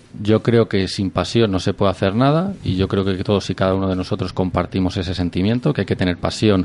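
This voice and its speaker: A man speaks in a very deep, low voice. His pitch moves in an ordinary way, and he talks at a fairly quick pace. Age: 30s. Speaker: business club member. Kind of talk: radio interview.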